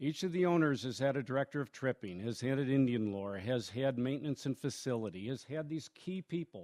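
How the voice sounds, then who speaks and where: A man with a plain, everyday voice speaks at a fairly quick pace, his medium pitch moving with lively intonation. The sound is dry and close with no echo, over a quiet background. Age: 60s. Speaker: camp owner. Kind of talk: speech. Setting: tent with audience. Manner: informal, with filler words.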